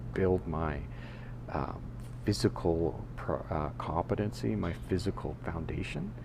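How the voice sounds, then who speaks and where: Vocal fry runs through a dark, mellow voice that swings very widely in pitch at a moderate pace. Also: man. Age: 60s. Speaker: podcaster. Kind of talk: casual monologue. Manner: halting, many fillers and restarts.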